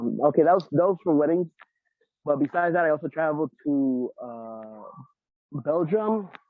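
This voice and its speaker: With a New York accent, a man speaks at a moderate pace, his fairly high pitch carrying lively intonation. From New York, the Bronx. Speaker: interviewee, show caller. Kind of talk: casual chat. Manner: halting, repetitive. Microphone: muffled, sounds underwater.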